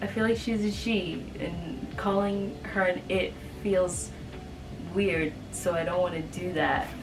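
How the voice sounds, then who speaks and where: Over music in the background, a woman talks at a very slow pace with a medium pitch and fairly even intonation, and audible room echo surrounds her voice. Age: 20s. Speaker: aspiring author and content creator. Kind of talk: casual chat to camera. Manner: halting, many fillers.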